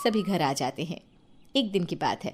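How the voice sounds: A woman's fairly low voice, slightly mellow with a slightly husky edge, lively in intonation, at a moderate pace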